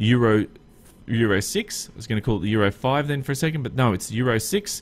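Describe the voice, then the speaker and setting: This man's voice sits at a medium pitch. He speaks with an Australian accent. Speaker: gaming YouTuber. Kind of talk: gameplay commentary. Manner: casual, hesitant with frequent fillers.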